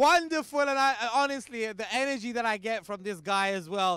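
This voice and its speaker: A man speaks at an extremely high pitch in an animated, bright and sharp tone with lively intonation, recorded very cleanly against a silent background. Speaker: cricket league host and presenter. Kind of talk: live event hosting and interviews. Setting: outdoors at cricket ground under floodlights.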